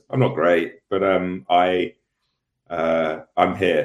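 A man with a British accent, very deep and low in pitch, with ordinary pitch variation. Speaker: show correspondent. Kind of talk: casual chat. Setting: video call.

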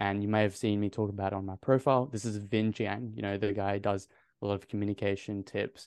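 A man with an Australian accent, fairly low-pitched, at a fairly quick pace, over a quiet background. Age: 20s. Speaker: medical student and confidence coach. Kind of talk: casual interview. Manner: animated.

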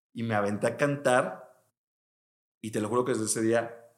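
A man speaks in a monotone with flat intonation. Room echo is audible. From Mexico, Veracruz. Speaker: music producer. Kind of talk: casual chat.

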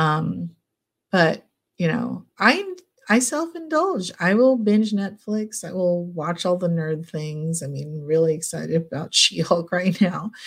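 A somewhat breathy woman's voice of fairly low pitch, at a fairly slow pace with ordinary pitch variation, on a very clean recording with a silent background. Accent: American. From California, US. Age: 40s. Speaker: clinical psychologist. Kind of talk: casual interview.

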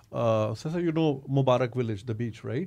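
In a Pakistani accent, a man speaks at a fairly quick pace and medium pitch. His tone is dark and mellow, with ordinary pitch variation. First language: Urdu. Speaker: podcast host. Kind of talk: interview.

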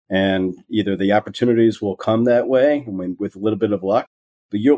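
A man with an American accent speaks at a moderate pace in an unremarkable speaking voice, his pitch fairly low with ordinary variation. The sound is dry and close, with no echo. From Wisconsin, US Midwest. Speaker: investment banker. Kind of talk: interview.

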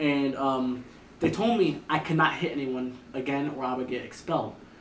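Noticeable background noise sits behind a man speaking at a moderate pace in a fairly high voice. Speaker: content creator. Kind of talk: casual chat.

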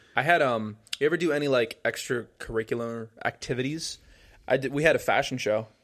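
An ordinary speaking voice from a man with an American accent, medium in pitch with ordinary pitch variation, at a fairly quick pace on a very clean recording, silent background. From New Jersey (Paramus). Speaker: podcast co-host. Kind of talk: casual chat.

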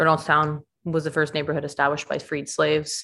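On a very clean recording with a silent background, a woman with a very deep, low pitch speaks at a very fast pace. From Atlanta area, Georgia (Stone Mountain). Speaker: city council candidate. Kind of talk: interview.

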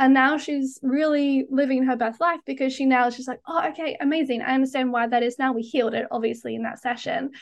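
A woman with a high pitch races along at a very fast pace with hardly any pauses and fairly even intonation over a quiet background. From Australia. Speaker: tantric hypnotherapist. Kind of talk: casual interview chat.

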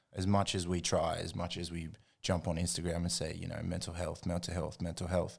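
Very deep and low in pitch with vocal fry, a man with an Australian accent talks at a fairly quick pace on a very clean recording with a silent background. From Australia, Jindabyne and Canberra. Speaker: hip hop producer. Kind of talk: casual chat.

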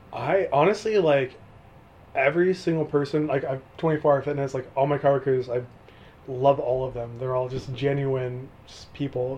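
Somewhat breathy, a man speaks at a fairly high pitch with an American accent. His volume swings widely. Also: ordinary pitch variation, moderate pace. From California, Mojave Desert. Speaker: college student and gym worker. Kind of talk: casual interview. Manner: laughing often.

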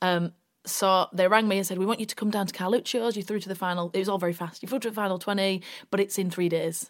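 Speaking at a very fast pace with a West Yorkshire accent, a woman keeps a medium pitch and a monotone, flat intonation in a very clean recording with a silent background. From West Yorkshire, Bradford. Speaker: radio presenter and actress. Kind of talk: casual chat.

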